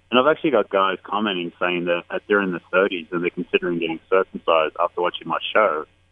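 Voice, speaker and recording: In an Australian accent, the speaker talks at a very fast pace with hardly any pauses and ordinary pitch variation. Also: man, very deep, low pitch for a man. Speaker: YouTube street interviewer. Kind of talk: radio interview.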